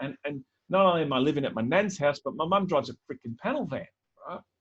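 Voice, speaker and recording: With an Australian accent, a man speaks at a very fast pace in a fairly high pitch with lively intonation. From Melbourne northern suburbs, Australia. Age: 40s. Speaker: keynote speaker. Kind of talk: keynote talk. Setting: virtual event. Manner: conversational.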